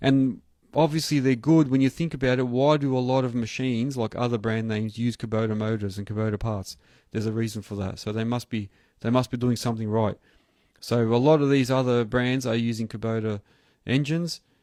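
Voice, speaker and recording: A man with a dark, mellow tone speaks at a fairly quick pace and a medium pitch. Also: fairly even intonation, quiet background. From Australia. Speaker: earthmoving contractor and channel host. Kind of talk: live stream chat. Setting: home studio live stream. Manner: casual, hesitant with fillers.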